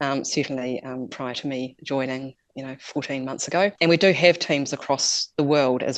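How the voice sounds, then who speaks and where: With a New Zealand accent, a woman talks at a moderate pace and a very deep, low pitch. The background is quiet. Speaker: climate policy expert. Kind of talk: interview. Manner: hesitant, many fillers.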